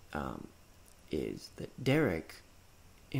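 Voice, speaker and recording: Here a man speaks with a dark, mellow tone. Vocal fry comes through in his voice. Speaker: indie game developer. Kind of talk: game walkthrough narration. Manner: halting, many fillers.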